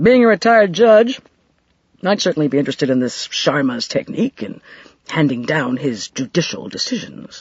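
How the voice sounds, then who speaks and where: Putting on a gruff character voice, a man speaks at a moderate pace with a fairly high pitch that swings very widely. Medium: read story. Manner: gruff, dry.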